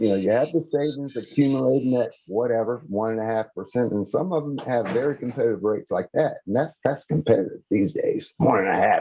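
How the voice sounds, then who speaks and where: Speaking at a fairly quick pace with hardly any pauses, a man uses a plain, everyday voice at a medium pitch. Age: 60s. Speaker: financial presenter. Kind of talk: webinar presentation. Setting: live stream.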